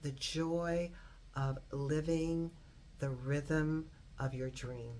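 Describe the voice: Vocal fry and a slightly mellow tone at a slow pace, with fairly even intonation. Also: woman.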